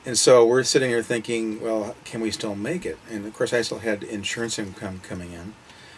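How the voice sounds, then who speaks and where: Over noticeable background noise, a man with a medium pitch talks at a fairly quick pace with hardly any pauses. His intonation stays fairly even while his loudness swings widely. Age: 60s. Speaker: retired full-time RVer and part-time insurance agent. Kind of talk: interview.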